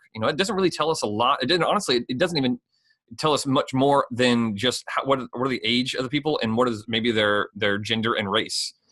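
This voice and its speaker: A man's bright, sharp voice at medium pitch and a fairly quick pace, with lively intonation and a dry, close sound with no echo. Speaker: podcast host and ministry leader. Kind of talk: casual podcast discussion. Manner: halting, with fillers and restarts.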